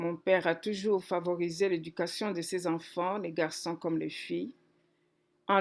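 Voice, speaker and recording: Over a silent background on a very clean recording, a woman with an unremarkable speaking voice talks at a fairly slow pace, fairly low in pitch with fairly even intonation. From DR Congo, Kikwit. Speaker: pastor. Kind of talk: testimony.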